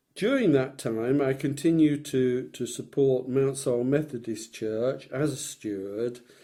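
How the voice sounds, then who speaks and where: The speaker has an East Midlands accent and a dark, mellow tone. Delivery is fairly slow with fairly even intonation. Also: man. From Leicestershire, England. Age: 70s. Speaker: retired businessman recalling his life. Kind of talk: oral history interview. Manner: halting, with frequent repetitions.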